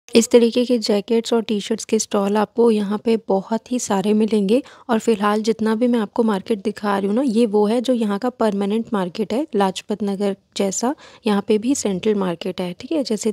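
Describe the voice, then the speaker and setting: Dry and close with no echo, a woman's dark, mellow voice sits at a fairly high pitch with fairly even intonation and a moderate pace. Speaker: travel and shopping vlogger. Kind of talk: vlog narration.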